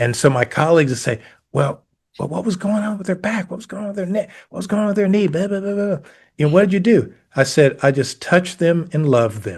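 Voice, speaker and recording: Speaking with an American accent, a man talks at a very fast pace and a high pitch. His intonation is lively, with big swings in loudness. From US South, Georgia. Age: 70s. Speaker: elite performance coach and massage therapist. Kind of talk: interview conversation.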